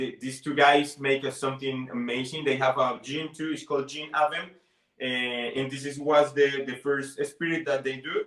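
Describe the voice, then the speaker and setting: Speaking at a moderate pace with a Spanish accent, a man holds a fairly high pitch in a flat, monotone delivery. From Colombia. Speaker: bartender. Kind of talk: interview; tutorial. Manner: halting.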